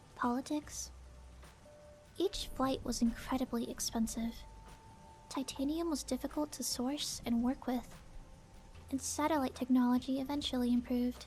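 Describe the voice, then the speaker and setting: Soft-spoken, calm tone, with music in the background. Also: woman. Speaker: VTuber. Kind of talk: aviation fact narration. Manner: sleepy, calm.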